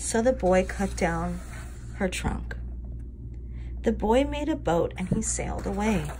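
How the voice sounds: A woman at a medium pitch speaks fairly slowly with lively intonation.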